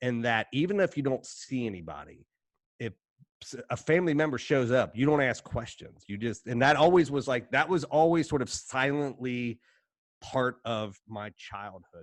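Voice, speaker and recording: A man with an Appalachian accent speaks in an animated tone. His pitch is medium, and the background is quiet. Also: moderate pace. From Appalachia, Kentucky-Ohio border. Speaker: writer and editor. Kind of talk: casual interview chat.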